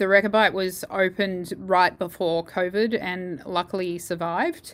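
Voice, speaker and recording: A woman speaks with an Australian accent. Her intonation is fairly even. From Perth, Western Australia. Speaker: jazz saxophonist and bandleader. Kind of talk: interview.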